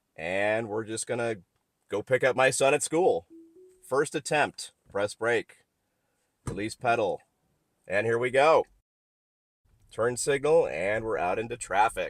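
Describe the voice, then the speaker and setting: A man speaks fairly slowly with long, frequent pauses while music plays in the background. The sound is dry and close, with no echo. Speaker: car tech reviewer. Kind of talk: driving vlog commentary. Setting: in a car.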